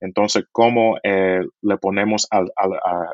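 Fairly even intonation carries speech delivered at a very slow pace. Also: man. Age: 30s. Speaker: media audience executive. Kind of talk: interview. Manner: halting.

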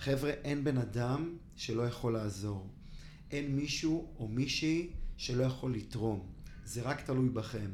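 A man's somewhat breathy, medium-pitched voice at a fairly slow pace, with ordinary pitch variation and audible room echo. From Israel, Ra'anana. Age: 30s. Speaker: charity foundation director. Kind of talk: interview.

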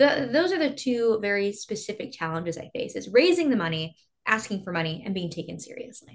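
Fairly quick and somewhat breathy, a woman with an American accent speaks at a medium pitch with very wide pitch swings and big swings in loudness. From small-town Texas. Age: 20s. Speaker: congressional candidate and former beauty queen. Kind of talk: interview.

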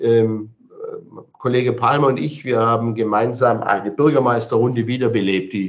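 Here a man with an ordinary speaking voice talks at a moderate pace, at medium pitch with ordinary pitch variation. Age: 60s. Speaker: mayor. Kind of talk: interview.

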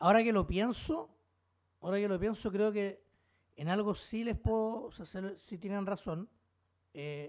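With a Chilean accent, a man talks at a fairly slow pace and a high pitch, using ordinary pitch variation and long, frequent pauses. The recording is very clean, with a silent background. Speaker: podcast host. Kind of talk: casual chat. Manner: animated.

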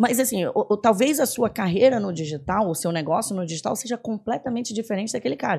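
Somewhat breathy, a woman talks with lively intonation and a dark, mellow tone. She speaks with hardly any pauses. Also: fairly high pitch for a woman, fairly quick pace. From Belém, Pará, northern Brazil. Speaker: tech executive. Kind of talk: casual interview. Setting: studio.

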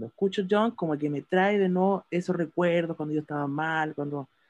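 A man's normal speaking voice, fairly high in pitch, at a moderate pace with ordinary pitch variation, in a dry, close sound with no echo. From Chile. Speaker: podcast panelist. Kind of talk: casual chat.

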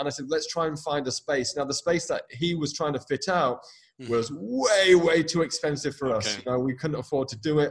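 A somewhat breathy man with a fairly high pitch talks at a fairly quick pace, his pitch varying in an ordinary way. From UK. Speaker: hairdresser, coach, podcast host. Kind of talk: interview, casual chat.

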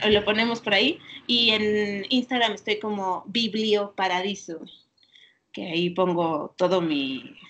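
This woman has a normal speaking voice at medium pitch, with ordinary pitch variation. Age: 30s. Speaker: librarian. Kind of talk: interview.

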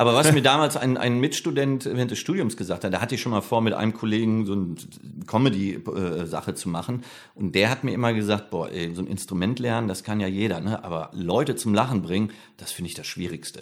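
A man's normal speaking voice, fairly low and fairly quick, with lively intonation and a very clean recording over a silent background. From Ruhr area, Germany (Bochum). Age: 50s. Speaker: comedian and flamenco guitarist. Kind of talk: casual interview chat.

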